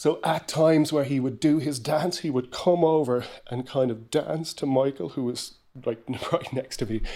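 In a dark, mellow tone, this voice moves at a moderate pace with ordinary pitch variation on a very clean recording with a silent background. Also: man, fairly high pitch for a man. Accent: Kerry. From Ireland, Rathmore, County Kerry. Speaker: radio presenter and music podcast host. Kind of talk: casual music chat.

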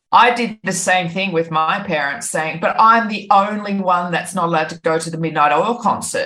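Speaking at a moderate pace, a woman with an Australian accent has a bright, sharp tone. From Australia, New South Wales (Byron Bay). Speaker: online safety educator, company founder. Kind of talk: radio interview. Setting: remote call from abroad.

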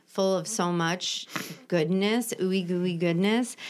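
On a very clean recording with a silent background, an ordinary speaking voice proceeds at a moderate pace. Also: woman. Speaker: podcast host in recovery. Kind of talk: casual chat.

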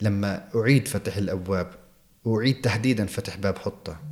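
With an ordinary speaking voice, a man talks at a moderate pace, fairly low in pitch with fairly even intonation. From Jerusalem, Palestine. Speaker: television field reporter. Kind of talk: interview. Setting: office of a TV channel in Jerusalem.

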